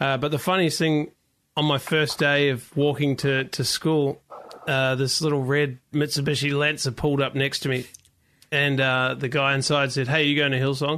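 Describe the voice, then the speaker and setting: Man with a New Zealand accent, fairly high pitch and a bright, sharp tone, monotone, flat intonation, very even loudness and a moderate pace, over a quiet background. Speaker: worship leader. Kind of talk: interview.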